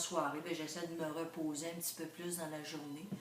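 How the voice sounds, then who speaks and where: At a moderate pace, the voice stays monotone and flat, with noticeable background noise and audible room echo. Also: woman. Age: 60s. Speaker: retiree. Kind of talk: interview. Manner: hesitant, many fillers.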